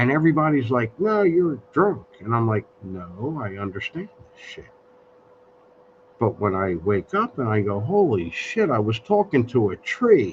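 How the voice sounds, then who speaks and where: This man's pitch rises and falls very widely. He speaks fairly slowly. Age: 60s. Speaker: live stream host. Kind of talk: casual chat. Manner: halting.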